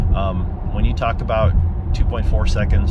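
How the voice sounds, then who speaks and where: The man's voice is dry with no echo, though the background noise is loud. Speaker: car owner reviewing his car. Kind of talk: casual vlog chat. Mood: enthusiastic, relaxed. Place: car. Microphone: phone near.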